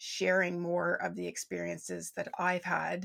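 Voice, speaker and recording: This woman has a normal speaking voice at medium pitch. Her pace is fairly slow. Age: 40s. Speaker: business and well-being mentor. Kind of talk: casual interview chat.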